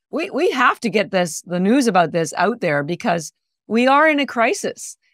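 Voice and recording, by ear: A woman speaks at a medium pitch with big pitch swings and a fairly bright tone. The sound is dry and close, with no echo. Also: moderate pace.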